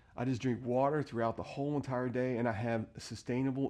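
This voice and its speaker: Against a quiet background, a man speaks at a fairly quick pace with a medium pitch and a dark, mellow tone. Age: 50s. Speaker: motorcycle vlogger. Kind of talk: casual video tutorial. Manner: casual, filler-heavy.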